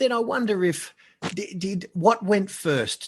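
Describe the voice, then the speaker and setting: A man with an Australian accent speaks at a very slow pace. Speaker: marketing consultant. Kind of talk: casual chat. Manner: loud.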